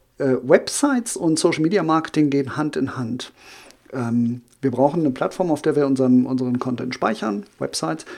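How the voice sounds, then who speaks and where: A man with a fairly high pitch and a plain, everyday voice. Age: 40s. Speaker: social media marketing consultant. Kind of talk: podcast interview.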